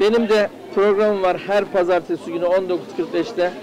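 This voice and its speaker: A man with a high pitch speaks at a moderate pace with fairly even intonation. The sound is dry with no echo, though noticeable background noise comes through. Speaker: TV show host; local TV show host. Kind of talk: street interviews with vendors. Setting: outdoor market. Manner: informal, friendly. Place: market.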